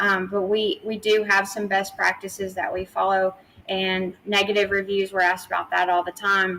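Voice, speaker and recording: Speaking with a slight Tennessee accent, a woman keeps a medium pitch and a moderate pace. Her tone is bright and sharp, and her intonation is flat and monotone. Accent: slight Southern US (Tennessee) twang. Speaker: PR agency founder. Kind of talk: interview.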